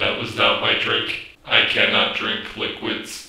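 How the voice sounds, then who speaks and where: Using a put-on character voice, a man talks at a fairly slow pace with a slight echo in the room. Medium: short film. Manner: stiff, formal, literal.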